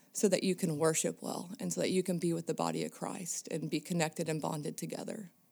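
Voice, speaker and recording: An American accent marks this woman's fairly low voice, which has vocal fry and ordinary pitch variation in a very clean recording with a silent background. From Minnesota. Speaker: church women's ministry volunteer. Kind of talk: casual chat. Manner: animated.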